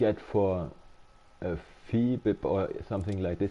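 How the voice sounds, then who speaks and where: In a German accent, a man talks at a fairly slow pace with a fairly low pitch and a dark, mellow tone. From Germany. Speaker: game streamer. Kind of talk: casual live-stream chat. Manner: halting, many repetitions and fillers.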